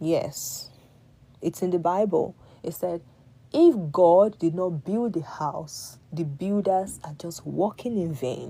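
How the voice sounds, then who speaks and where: A woman with a Nigerian accent speaks very slowly in a fairly low, dark, mellow voice, with ordinary pitch variation and big swings in loudness. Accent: Nigerian (Yoruba) English. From Nigeria, Yoruba. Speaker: live-stream host giving advice to women. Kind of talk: casual motivational talk to live audience. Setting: live stream.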